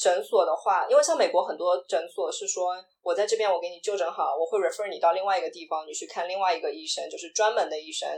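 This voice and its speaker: A woman at a very fast clip, loudness rising and falling sharply, hardly any pauses. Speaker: video producer and LGBTQ podcaster. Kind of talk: casual interview chat.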